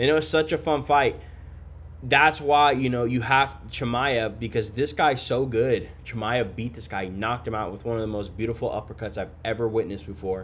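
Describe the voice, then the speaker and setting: A man with an ordinary speaking voice keeps a medium pitch and a medium tempo, his pitch rising and falling normally. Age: 30s. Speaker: MMA podcast host. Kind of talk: casual solo fight breakdown. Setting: hotel room. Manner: casual, filler-heavy.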